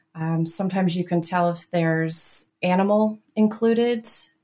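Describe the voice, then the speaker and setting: A woman talks in a plain, everyday voice. Her pitch is fairly low and her pace fairly slow. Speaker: NAGPRA office director and archaeologist. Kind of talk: interview conversation.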